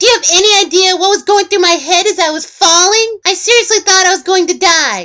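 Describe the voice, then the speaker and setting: A put-on character voice, female-sounding and extremely high in pitch, at a fairly quick pace. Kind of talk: parody abridged-dub comedy. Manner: angry, ranting, swearing.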